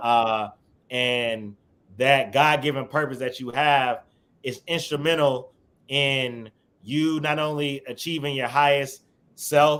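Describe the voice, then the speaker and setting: At a very slow pace with long, frequent pauses, a man with a fairly high pitch speaks in fairly even intonation on a very clean recording with a silent background. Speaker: radio personality. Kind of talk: interview conversation. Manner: loud, boisterous.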